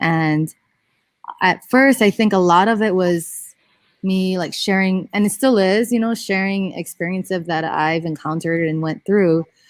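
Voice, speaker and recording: A woman's fairly low voice at a fairly slow pace, dry and close with no echo, on a very clean recording with a silent background. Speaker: wrestling coach. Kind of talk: interview. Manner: quiet.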